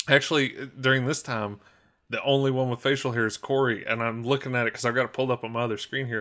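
Very fast and flat in intonation, a man speaks. His tone is bright and sharp. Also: medium pitch for a man, very clean recording, silent background. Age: 30s. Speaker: podcast co-host. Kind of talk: casual chat.

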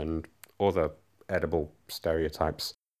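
A man is speaking. His pace is very slow. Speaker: convention correspondent. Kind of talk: casual interviews. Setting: convention floor.

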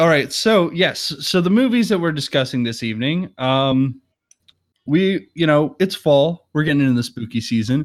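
A man speaks in an ordinary speaking voice at a fairly high pitch. His intonation is lively and his pace moderate. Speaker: podcast host. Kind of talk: casual chat about movies. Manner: chatty, laughs often, interrupts.

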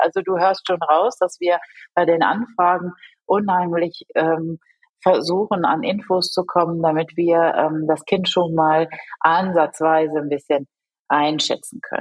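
The delivery is fairly slow with fairly even intonation, in a plain, everyday voice. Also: woman. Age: 40s. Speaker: school principal. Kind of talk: interview.

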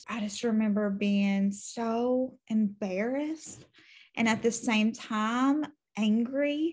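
A woman's fairly high, somewhat breathy voice at a very slow pace. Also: ordinary pitch variation. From eastern Kentucky. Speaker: justice reform campaigner, formerly incarcerated. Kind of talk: interview.

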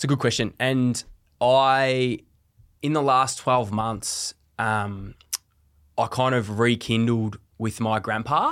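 A man with an Australian accent, medium in pitch, very slow, with long, frequent pauses and fairly even intonation. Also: very clean recording, silent background. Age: 30s. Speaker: father of two talking about mental health. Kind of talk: casual chat. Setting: studio.

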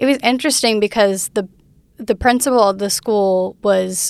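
A woman with an American accent and a normal speaking voice, medium pitch, fairly even intonation and moderate pace, in a very clean recording with a silent background. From US South, Alabama Gulf Coast. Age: 20s. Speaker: university student. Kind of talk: interview.

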